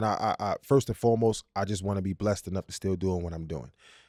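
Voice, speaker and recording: A man with a Brooklyn accent talks very fast, in a dry, close sound with no echo, on a very clean recording with a silent background. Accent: New York (Brooklyn). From Brooklyn, New York (East New York). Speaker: musician and producer. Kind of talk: casual chat. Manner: animated.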